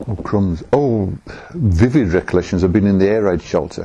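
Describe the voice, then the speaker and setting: A man's fairly low voice in a Birmingham accent, dark and mellow in tone, with ordinary pitch variation. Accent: Birmingham (Brummie) English. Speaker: oral history interviewee. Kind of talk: oral history interview. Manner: halting, with many restarts.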